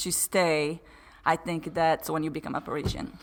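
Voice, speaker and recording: Here a woman speaks at a moderate pace. The recording is very clean, and the background is silent. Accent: Brazilian Portuguese. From Brazil. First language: Portuguese. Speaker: podcast guest. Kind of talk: casual interview chat.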